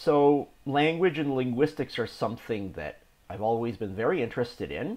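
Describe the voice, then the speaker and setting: The man talks at a moderate pace in a medium pitch. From Toronto, Canada. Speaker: vlogger. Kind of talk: casual talk to camera. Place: home room. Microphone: webcam.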